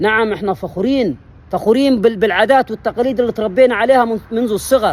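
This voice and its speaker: A man speaks in an animated tone with an Upper Egyptian accent. His voice is high-pitched, with ordinary pitch variation. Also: fairly quick pace. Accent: Upper Egyptian (Saidi) dialect. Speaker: history channel presenter. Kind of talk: impassioned monologue.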